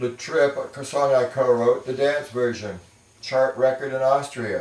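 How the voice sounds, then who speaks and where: Speaking at a fairly slow pace with an American accent, a man keeps a medium pitch and fairly even intonation against noticeable background noise. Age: 60s. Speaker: music producer. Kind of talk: casual talk to camera.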